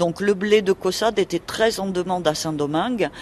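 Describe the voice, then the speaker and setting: Against noticeable background noise, the speaker goes at a fairly slow pace with ordinary pitch variation. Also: woman. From Toulouse, southern France. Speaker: local historian. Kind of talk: radio interview.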